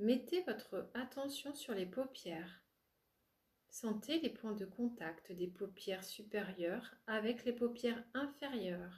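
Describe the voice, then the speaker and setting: In a calm, soothing tone, a woman speaks at a very slow pace with a fairly high, somewhat breathy voice. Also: lively intonation. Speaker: spiritual coach and relaxation therapist. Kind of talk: yoga nidra guided relaxation. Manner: slow, calm, soothing, with long pauses.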